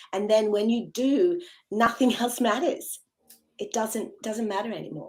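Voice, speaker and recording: A woman talks in a plain, everyday voice, fairly high in pitch, with lively intonation. Her pace is fairly slow. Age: 60s. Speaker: yoga and meditation teacher. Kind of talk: podcast interview.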